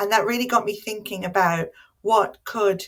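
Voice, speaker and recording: With an Irish accent, this voice moves along at a moderate pace. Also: woman. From Ireland. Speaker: academic. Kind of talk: conference talk. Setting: home office.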